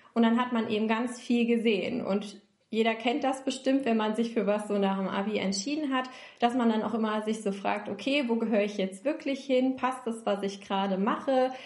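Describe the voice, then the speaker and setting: A woman with a fairly high pitch speaks in fairly even intonation, with audible room echo. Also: moderate pace. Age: 20s. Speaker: recruiter and self-development coach. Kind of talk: interview conversation. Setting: online call.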